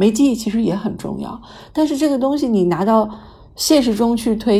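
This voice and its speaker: Somewhat breathy, a woman talks at a moderate pace with a fairly high pitch and lively intonation. Room echo is audible. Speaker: writer and stay-at-home mother. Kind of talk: casual chat.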